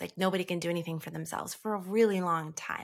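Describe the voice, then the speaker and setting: A woman's fairly low-pitched, a normal speaking voice with lively intonation, in a very clean recording against a silent background. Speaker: homeschooling mother. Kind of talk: on-air coaching session.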